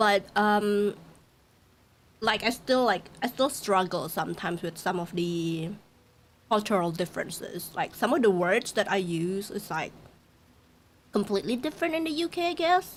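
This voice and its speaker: Speaking with an Indonesian accent, a woman uses a medium pitch with very wide pitch swings. She keeps a moderate pace and leaves long, frequent pauses. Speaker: VTuber streamer. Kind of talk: casual live-stream chat.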